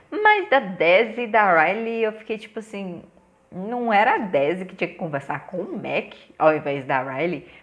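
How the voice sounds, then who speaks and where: Very wide pitch swings in a woman's medium voice, at a moderate pace. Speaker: TV series reviewer. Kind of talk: casual review vlog.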